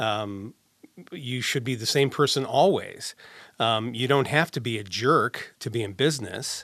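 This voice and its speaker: Speaking at a fairly slow pace, a man has an unremarkable speaking voice. His pitch is medium, with ordinary variation. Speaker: audio engineer and voiceover actor. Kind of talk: casual chat. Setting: studio.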